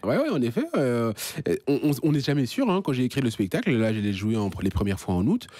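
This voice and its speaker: Fairly quick and very even in loudness, a man's medium-pitched voice has a dark, mellow tone and lively intonation. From Belgium (Marcinelle), born in Kinshasa. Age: 30s. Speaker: stand-up comedian. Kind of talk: radio interview answer.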